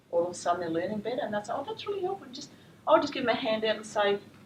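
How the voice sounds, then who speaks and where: A woman with an Australian accent and very wide pitch swings, audible room echo and noticeable background noise behind her. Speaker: teacher trainer. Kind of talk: lecture. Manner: fast.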